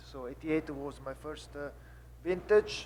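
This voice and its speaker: A man speaks with an Italian accent. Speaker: winemaker. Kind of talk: panel seminar. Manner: halting.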